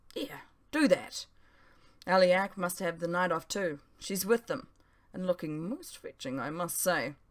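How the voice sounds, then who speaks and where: A raspy, female-sounding put-on character voice at a middle pitch moves at a moderate pace, broken by long, frequent pauses. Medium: read story. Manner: proud, chatty.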